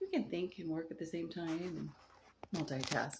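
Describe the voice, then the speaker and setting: A woman speaks in a somewhat breathy voice. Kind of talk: casual talk to camera.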